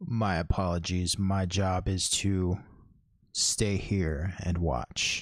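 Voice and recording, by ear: A man puts on a character voice pitched very deep and low. He speaks at a very slow pace.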